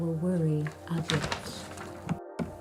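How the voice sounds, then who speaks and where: A woman speaks in a somewhat breathy voice. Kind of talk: poetry reading.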